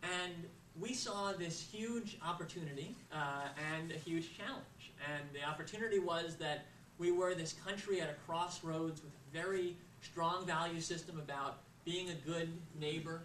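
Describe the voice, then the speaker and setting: Against audible room echo and noticeable background noise, a man with an American accent speaks in a high pitch with fairly even intonation. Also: moderate pace. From US, Florida (Boca Raton). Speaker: nonprofit founder. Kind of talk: speech. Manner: frequent filler uhs.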